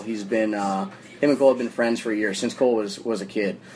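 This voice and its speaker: Over noticeable background noise, a man with an American accent talks very fast at a medium pitch, with ordinary pitch variation. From Phoenix, Arizona. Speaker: motorsports team owner and general contractor. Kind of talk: casual interview. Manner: halting, filler-heavy.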